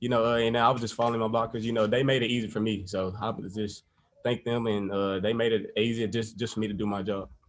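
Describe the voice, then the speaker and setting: At a very fast pace, a man talks with monotone, flat intonation at a medium pitch. Audible room echo surrounds his voice. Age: young. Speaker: college football player. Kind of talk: press conference.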